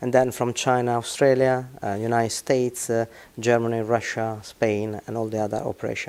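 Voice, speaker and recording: Speaking with an Italian accent, a man uses a dark, mellow tone at medium pitch. His pace is moderate and his intonation fairly even. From Italy. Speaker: business executive. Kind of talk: interview. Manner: halting.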